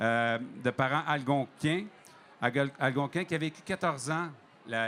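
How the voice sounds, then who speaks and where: A man speaks in a Quebec accent. His pitch is medium, with ordinary variation. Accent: Québécois. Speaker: TV host. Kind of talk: introduction of a guest.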